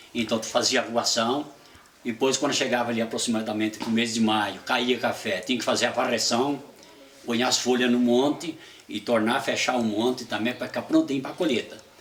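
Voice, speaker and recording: A man with a medium-pitched voice and fairly even intonation talks fairly quickly, noticeable background noise present throughout. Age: 70s. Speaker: retired coffee farmer. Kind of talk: oral history interview. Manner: halting.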